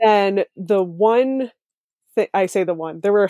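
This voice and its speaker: A woman with a dark, mellow tone speaks at a moderate pace in a dry, close recording with no echo. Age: 20s. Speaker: zero waste blogger. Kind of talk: casual interview chat. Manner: chatty with fillers and laughs.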